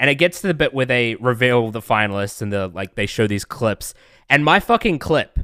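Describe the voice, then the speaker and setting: With a New Zealand accent, a man talks at a fairly quick pace in a medium pitch, his tone bright and sharp, the sound dry and close with no echo. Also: lively intonation, very clean recording, silent background. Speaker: streamer. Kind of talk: casual chat.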